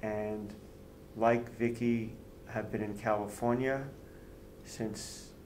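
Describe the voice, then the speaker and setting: A man's fairly low voice in an American accent at a very slow pace, with audible room echo. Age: 60s. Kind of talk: interview.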